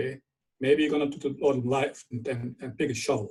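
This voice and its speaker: A man with a German accent talks at a fairly quick pace in a fairly high pitch. His tone is dark and mellow, and somewhat breathy. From Germany. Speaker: viticulture scientist. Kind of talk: webinar lecture. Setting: online webinar.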